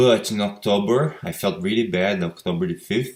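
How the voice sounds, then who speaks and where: The speaker talks at a moderate pace in a Brazilian Portuguese accent, with very wide pitch swings. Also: man. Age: 20s. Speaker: patient sharing recovery story. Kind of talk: personal testimony. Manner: halting, with repetitions.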